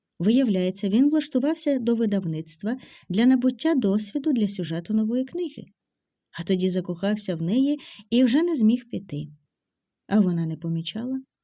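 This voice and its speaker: A very clean recording with a silent background carries speech at a moderate speed. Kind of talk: dramatic audiobook narration. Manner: expressive, emotionally colored storytelling.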